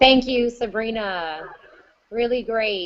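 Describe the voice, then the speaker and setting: Talking at a fairly slow pace, a woman uses a normal speaking voice. Her pitch is fairly high, with ordinary pitch variation. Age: 30s. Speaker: conference moderator. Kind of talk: virtual conference moderation.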